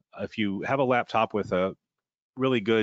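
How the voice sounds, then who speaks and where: A man at a moderate pace with ordinary pitch variation, in a dry, close sound with no echo over a quiet background. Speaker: software trainer. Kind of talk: webinar tutorial. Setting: webinar.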